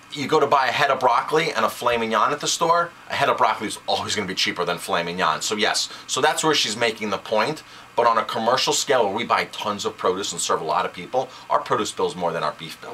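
A man speaks at a very fast pace with light background noise behind him. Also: hardly any pauses. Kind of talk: casual discussion commentary. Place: office. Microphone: webcam.

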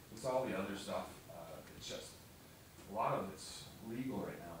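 Strong room echo and noticeable background noise surround a man whose voice has ordinary pitch variation. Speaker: town department head reporting to board. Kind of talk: meeting discussion. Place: meeting room.

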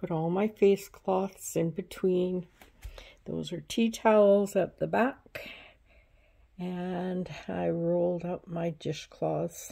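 Over a quiet background, a woman with a dark, mellow tone speaks very slowly with fairly even intonation. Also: medium pitch for a woman. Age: 70s. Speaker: craft and home video creator; home video creator. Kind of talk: casual tutorial vlog. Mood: pleased, warm. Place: home room. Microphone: phone near.

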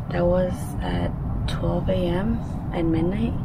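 A woman speaks at a very slow pace. Loud background noise surrounds her voice. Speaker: vlogger. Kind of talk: casual vlog chat. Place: garden. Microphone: phone near.

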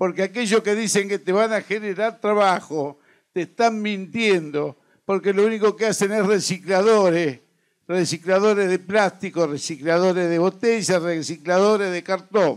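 A man with a high pitch speaks at a moderate pace and with fairly even intonation, against a quiet background. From Argentina. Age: 60s. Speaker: trade union leader; speaker. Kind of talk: political speech. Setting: stage with audience. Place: stage. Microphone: handheld.

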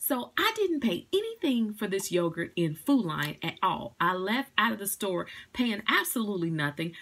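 A woman's medium-pitched voice with a fairly bright tone, a slightly husky edge, big pitch swings and a moderate pace.

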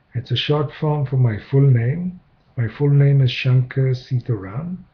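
Pitched at medium height, a man speaks at a fairly slow pace with a slightly husky edge and ordinary pitch variation.

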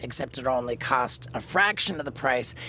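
A man talks at a moderate pace, the sound dry with no echo and light noise in the background. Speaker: podcast host. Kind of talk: sponsor ad read. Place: studio. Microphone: studio mic.

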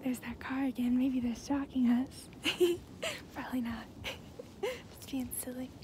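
A soft-spoken woman's high-pitched, flat, monotone voice, with long, frequent pauses, dry sound without echo and light background noise. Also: moderate pace. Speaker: ASMR creator. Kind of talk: ASMR roleplay. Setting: outdoors. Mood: cheerful, playful. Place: open country. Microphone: phone near.

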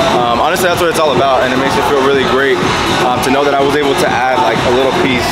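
Clear music plays behind the speaker. A man talks at a very fast pace. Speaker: fitness coach. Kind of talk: casual vlog chat. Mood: warm, grateful. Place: gym. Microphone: phone near.

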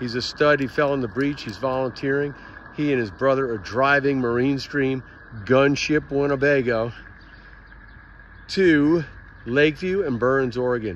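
A man speaks at a moderate pace with ordinary pitch variation, leaving long, frequent pauses. The sound is dry, with no echo. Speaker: road trip vlogger. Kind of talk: casual vlog update. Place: street. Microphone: phone near.

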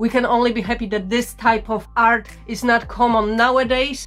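A woman's monotone, flat delivery over faint background music. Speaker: vintage reseller. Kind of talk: casual haul vlog chat. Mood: playful, humorous. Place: home room.

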